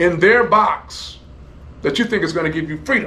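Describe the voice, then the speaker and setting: A man's high voice with an American accent, ordinary pitch variation and a moderate pace, amid audible room echo and noticeable background noise. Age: 70s. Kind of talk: interview. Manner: repetitive, halting restarts.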